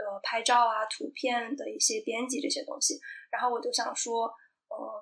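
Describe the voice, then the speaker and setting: This woman's voice is high in pitch. Her pitch varies in an ordinary way. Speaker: sustainable lifestyle video blogger. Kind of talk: casual chat.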